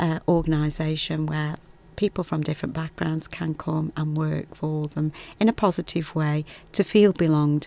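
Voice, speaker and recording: With a Stoke accent, a woman speaks at a moderate pace in a very deep, low pitch. Her intonation is flat and monotone. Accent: Stoke-on-Trent. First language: Punjabi. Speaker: health visitor. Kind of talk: casual conversation, podcast.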